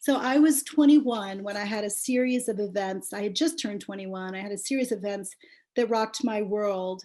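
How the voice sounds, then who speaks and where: A woman talks at a medium pitch and a fairly quick pace. It is an ordinary speaking voice with ordinary pitch variation. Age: 60s. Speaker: memoir author. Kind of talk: book launch talk. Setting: video call.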